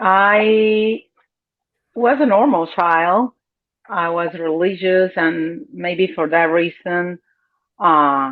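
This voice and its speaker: Speaking very slowly with a Cuban accent, a woman uses a fairly low pitch and leaves long, frequent pauses. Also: ordinary pitch variation. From Cuba, south of Havana. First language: Spanish. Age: 50s. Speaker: interview guest. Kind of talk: personal testimony.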